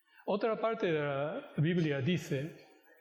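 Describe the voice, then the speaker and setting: A man speaks very slowly at a high pitch with ordinary pitch variation. Audible room echo is present. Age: 60s. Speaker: pastor. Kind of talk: sermon. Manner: halting.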